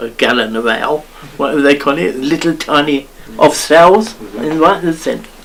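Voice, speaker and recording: An Essex accent with ordinary pitch variation, over noticeable background noise. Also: man. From Grays, Essex, England. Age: 80s+. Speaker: elderly local resident sharing memories. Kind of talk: oral history interview. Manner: chatty.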